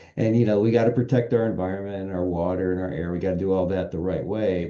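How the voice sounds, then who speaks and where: A man speaks at a fairly quick pace with a very deep, low pitch and ordinary pitch variation. His tone is dark and mellow, and there is audible room echo. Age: 60s. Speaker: business association executive. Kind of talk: podcast interview.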